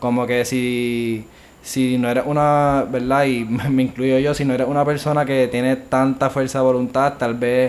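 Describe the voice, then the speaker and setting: A man with an unremarkable speaking voice talks at a fairly slow pace, his pitch medium and his intonation fairly even. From Puerto Rico, Bayamón. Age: 20s. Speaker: university student. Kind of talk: casual chat.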